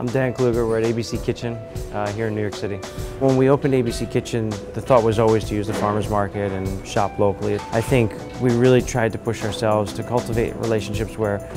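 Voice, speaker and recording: A man talking very fast with ordinary pitch variation, clear music playing behind him. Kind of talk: interview answer. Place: cafe. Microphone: lapel.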